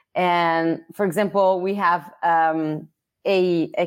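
A woman's medium-pitched voice with ordinary pitch variation, in a very clean recording against a silent background. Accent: Italian. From Italy. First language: Italian. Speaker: learning course manager. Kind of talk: interview.

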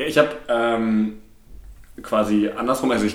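A man talks at a moderate speed, and audible echo from the room is around him. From Ruhr area, Germany (Bochum). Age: 20s. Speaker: podcast co-host. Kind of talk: casual chat. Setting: living room used as home studio.

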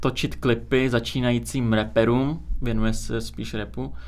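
A man talks at a fairly slow pace. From Czech Republic (born in Azerbaijan, moved as infant). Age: 20s. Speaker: music video studio owner. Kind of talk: casual interview.

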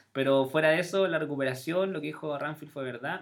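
A fairly high-pitched man's voice in a Chilean accent, animated in tone, fairly quick, with ordinary pitch variation. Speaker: podcast host. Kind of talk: casual chat.

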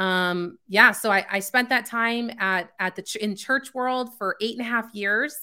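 A woman with an American accent speaks at a fairly high pitch, with a bright, sharp tone and ordinary pitch variation. Her pace is fairly slow, yet she hardly pauses. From California and Chicago suburbs. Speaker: emotional intelligence coach. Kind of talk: interview. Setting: video call.

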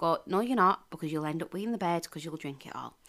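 On a very clean recording with a silent background, a woman speaks at fairly low pitch with a bright, sharp tone and ordinary pitch variation. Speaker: podcast co-host, mother. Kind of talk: casual chat between spouses. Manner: laughs a lot, animated.

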